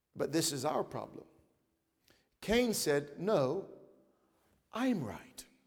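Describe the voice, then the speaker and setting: Speaking at a very slow pace with long, frequent pauses, a man with a high pitch makes very wide pitch swings in a room with audible echo. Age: 30s. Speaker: pastor. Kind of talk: sermon.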